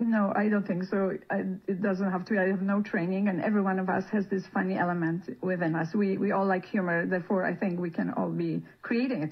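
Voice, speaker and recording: A woman speaks at a fairly quick pace with a non-native accent, her medium pitch held in fairly even intonation. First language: not English. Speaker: palliative care worker. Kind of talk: radio interview. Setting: radio studio. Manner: halting.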